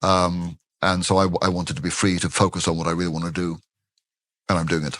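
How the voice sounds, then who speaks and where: A man with a very deep, low pitch talks at a very fast pace and fairly even intonation over a quiet background. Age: 60s. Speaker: retired professor of ethics. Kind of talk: interview. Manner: halting, many repetitions and fillers.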